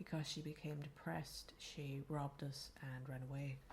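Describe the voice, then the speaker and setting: Soft-spoken and somewhat breathy, a woman speaks in a calm tone at a very deep, low pitch. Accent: Irish. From Ireland. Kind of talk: ASMR gaming commentary. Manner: soft-spoken, quiet; slow, calm.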